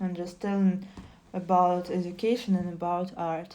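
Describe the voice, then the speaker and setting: In a Russian accent, a woman speaks at medium pitch with a dark, mellow tone amid audible room echo. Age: 20s. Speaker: streamer. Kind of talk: casual chat. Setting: live stream. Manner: halting.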